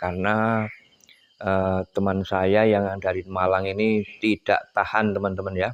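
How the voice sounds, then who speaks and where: A man's fairly low, monotone, flat voice at a fairly slow pace. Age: 60s. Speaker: oil palm farmer and vlogger. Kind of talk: video vlog, casual talk to viewers. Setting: outdoors at night in a forest clearing. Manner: halting, many fillers.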